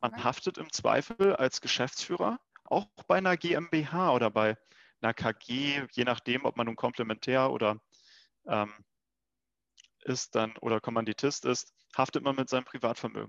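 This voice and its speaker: Long, frequent pauses and ordinary pitch variation over a quiet background. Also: man, medium pitch for a man, moderate pace, dry, close sound with no echo. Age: 20s. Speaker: insurance start-up founder. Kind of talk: casual interview.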